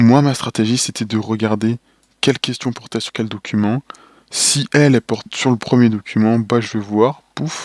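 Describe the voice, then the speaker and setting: This man's voice is pitched in the middle range. There's no echo at all, and the sound is dry and close. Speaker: engineering student giving exam tips. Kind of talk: casual tutorial. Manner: fast; animated, casual.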